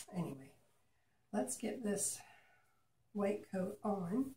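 Her voice sits at a medium pitch with vocal fry, as this woman speaks in a dark, mellow tone with lively intonation. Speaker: acrylic pour artist. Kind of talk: casual tutorial. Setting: home art studio, video. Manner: chatty, playful.

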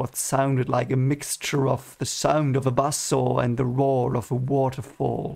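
An unforced reading voice is heard here.

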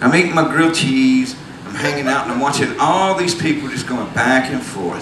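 A man with lively intonation, amid noticeable background noise. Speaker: storyteller on stage. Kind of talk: live storytelling monologue. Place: stage. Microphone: handheld.

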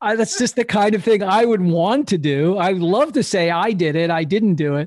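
A man speaks with an American accent and lively intonation. The background is quiet. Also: dry sound with no echo. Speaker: podcast host. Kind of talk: podcast interview talk. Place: home room. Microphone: studio mic.

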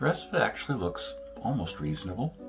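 A man talking at a moderate pace over clear music in the background. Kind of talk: casual vlog chat. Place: bathroom. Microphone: phone near.

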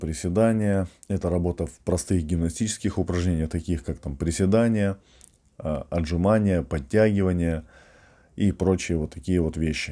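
A man speaks at a moderate pace with ordinary pitch variation, his voice very deep and low. The tone is dark and mellow against a quiet background. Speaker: strength athlete and fitness coach; strongman trainer vlogger. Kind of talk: casual vlog monologue. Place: home room. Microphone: webcam.

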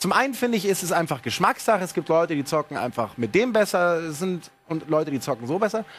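Talking at a very fast pace with hardly any pauses, a man with a high pitch makes very wide pitch swings in an animated tone. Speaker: TV gaming show host. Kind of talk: live TV show presentation. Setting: TV studio. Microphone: headset.

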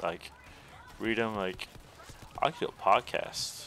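A man speaks over noticeable background noise. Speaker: gaming streamer. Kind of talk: live gameplay stream chat. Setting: live stream with webcam. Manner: casual, filler-heavy.

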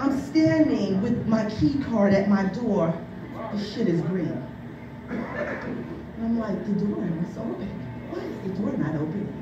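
A woman's medium-pitched voice with big pitch swings at a fairly slow pace, audible room echo and clear music in the background

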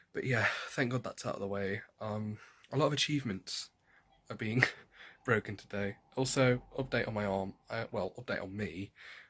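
A man speaks at a moderate pace with a fairly low pitch and ordinary pitch variation. His tone is fairly bright, with a slightly husky edge.

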